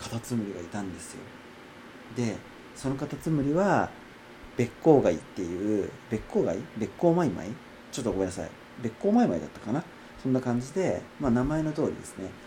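Man at medium pitch with very wide pitch swings, a very fast pace, long, frequent pauses and big swings in loudness. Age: 30s. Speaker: podcaster and acupuncture clinic worker. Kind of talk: casual solo monologue. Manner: higher pitch than usual today; hesitant, many fillers.

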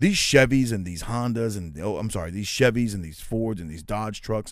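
An ordinary speaking voice from a man, fairly low in pitch with ordinary pitch variation, at a fairly quick pace. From United States, of Puerto Rican descent. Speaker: podcast host. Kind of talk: solo podcast monologue. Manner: casual, conversational.

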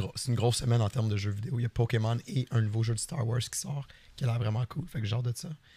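A man talks at a fairly quick pace with long, frequent pauses. His medium-pitched voice is somewhat breathy. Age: 30s. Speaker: podcast co-host and streamer. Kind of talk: casual chat.

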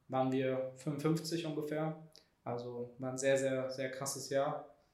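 Speaking at a very slow pace, a man with a medium pitch uses monotone, flat intonation, and room echo is audible. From Germany, Heidelberg. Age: 20s. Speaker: startup employee, content marketer. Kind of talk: casual chat. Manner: halting, many fillers.

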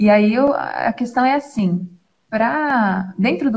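A woman's somewhat breathy voice with a dark, mellow tone and lively intonation. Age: 20s. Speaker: doula and mother. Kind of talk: religious talk in live stream. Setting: live stream video call, using headphones.

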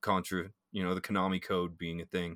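On a very clean recording with a silent background and a dry, close sound with no echo, a man with a fairly low pitch talks at a fairly quick pace in an enthusiastic tone that is bright and sharp. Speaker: podcast host. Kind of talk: casual podcast chat.

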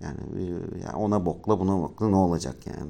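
A man's dark, mellow tone. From Turkey, Ankara. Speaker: podcast host. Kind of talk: casual monologue. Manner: halting, many fillers.

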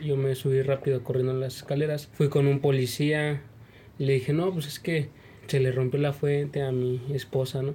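The voice has a dark, mellow tone and is somewhat breathy. Its intonation stays flat and monotone at a moderate pace. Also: man, fairly high pitch for a man. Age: young. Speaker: young father. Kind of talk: testimony.

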